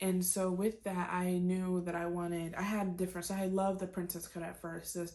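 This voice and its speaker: A woman speaks at medium pitch in a dark, mellow tone. Her intonation is monotone and flat. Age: 20s. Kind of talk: casual talk to camera.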